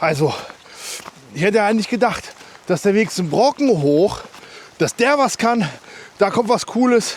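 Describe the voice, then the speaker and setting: Over noticeable background noise, a man talks at a moderate pace in a high pitch with very wide pitch swings. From Germany, Harz region. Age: 30s. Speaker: hiking vlogger. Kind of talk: casual vlog monologue while trail running. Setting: outdoors, mountain trail. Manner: halting, many fillers.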